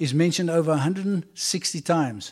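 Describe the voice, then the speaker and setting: On a very clean recording with a silent background, a man with a South African accent speaks at a fairly high pitch with ordinary pitch variation. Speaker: visiting preacher. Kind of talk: sermon. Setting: church.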